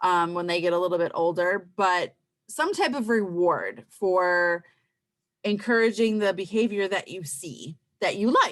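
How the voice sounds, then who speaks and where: A plain, everyday voice moves at a fairly slow pace with ordinary pitch variation. The background is quiet. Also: woman, medium pitch for a woman. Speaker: parenting class instructor. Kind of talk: online class presentation.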